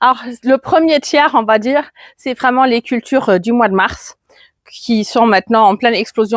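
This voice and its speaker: A woman with a slight German accent speaks at a moderate pace and a fairly high pitch, with ordinary pitch variation. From Germany. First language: German (speaking French). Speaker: gardening youtuber. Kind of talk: garden tour vlog. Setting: outdoors in garden. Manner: casual, with hesitations.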